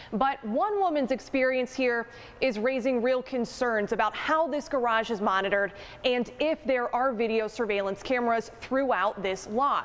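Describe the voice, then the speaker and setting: A woman talks at a high pitch and a moderate pace, with ordinary pitch variation and very even loudness. Noticeable background noise runs underneath. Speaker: television investigative reporter. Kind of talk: TV news reporter, live field report and packaged story. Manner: clear, informative consumer-warning tone.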